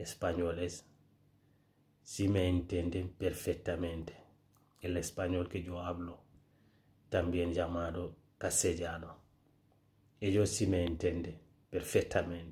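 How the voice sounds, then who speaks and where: A man's very deep, low voice with a Senegalese accent, dark and mellow in tone, somewhat breathy, monotone and flat, at a very slow pace with long, frequent pauses. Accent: West African (Senegalese) accent in Spanish. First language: Pular (Fulfulde) (speaking Spanish). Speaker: social media creator. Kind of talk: casual vlog monologue.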